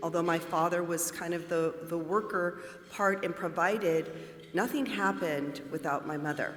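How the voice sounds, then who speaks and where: Someone with an American accent speaks at a fairly slow pace with fairly even intonation. Audible room echo and noticeable background noise surround the voice. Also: woman. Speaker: bank mortgage manager. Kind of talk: panel introduction.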